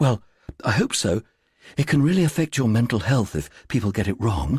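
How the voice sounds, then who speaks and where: A man speaks at a medium pitch in a husky, put-on character voice. He talks fairly quickly, with very wide pitch swings. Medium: read story. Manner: earnest, helpful.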